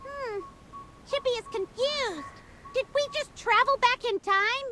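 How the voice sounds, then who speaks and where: This put-on character voice sits at an extremely high pitch. It moves at a fairly slow pace. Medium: video game. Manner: refers to self in third person.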